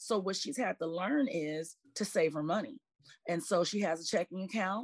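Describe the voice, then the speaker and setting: This woman has a plain, everyday voice with medium pitch. She talks at a moderate pace with lively intonation. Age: 40s. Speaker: financial professional. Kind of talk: casual chat.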